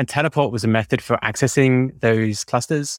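Recorded very cleanly against a silent background, a man with an American accent speaks at a moderate pace and medium pitch, using ordinary pitch variation, the sound dry and close with no echo. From UK. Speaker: DevOps engineer. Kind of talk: casual interview chat.

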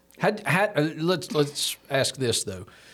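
A man talks with a Southern US accent at a fairly high pitch. His intonation is lively. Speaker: church podcast host. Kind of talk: casual interview. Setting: studio.

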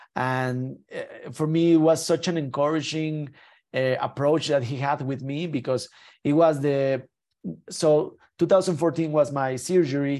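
Dark, mellow tone from a man, fairly high in pitch, with fairly even intonation and a fairly slow pace. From Mexico. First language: Spanish. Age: 30s. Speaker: Paralympic skier. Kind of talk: interview. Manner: halting with many repetitions.

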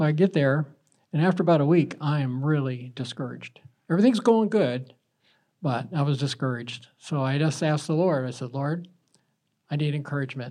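A man with an American accent, fairly high-pitched for a man, at a fairly quick pace with ordinary pitch variation. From US South, South Carolina. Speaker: churchgoer. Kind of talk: testimony.

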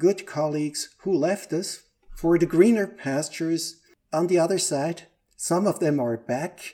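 Speaking at a fairly slow pace, a man with a Swiss German accent has a fairly high pitch and a dark, mellow tone. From Switzerland, Lake Zurich. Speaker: operations manager and organizational trainer. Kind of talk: casual interview.

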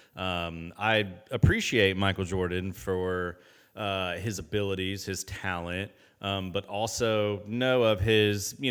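A man with an American accent, a very deep, low pitch and fairly even intonation. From US Midwest, Indianapolis. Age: 30s. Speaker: podcast host. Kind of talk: casual interview chat.

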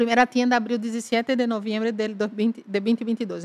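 A woman's unremarkable speaking voice, fairly high in pitch, at a moderate pace, with a dry, close sound and no echo. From Brazil, Salvador de Bahia (northeast). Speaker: business executive. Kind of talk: interview conversation.

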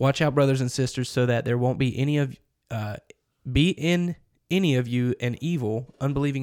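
A man talks at a fairly quick pace in a plain, everyday voice of medium pitch. The recording is very clean, with a silent background. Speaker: church podcast co-host. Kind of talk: casual chat. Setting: office.

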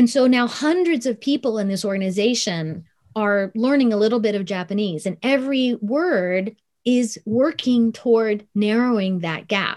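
A woman with an American accent speaks at a moderate pace. Her fairly high voice has lively intonation. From US Midwest, Columbus, Ohio. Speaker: author and consultant. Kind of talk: interview.

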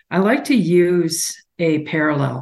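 A woman's fairly low-pitched voice with a Canadian accent and ordinary pitch variation. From Alberta, Canada. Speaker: tech founder and investor. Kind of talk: panel discussion.

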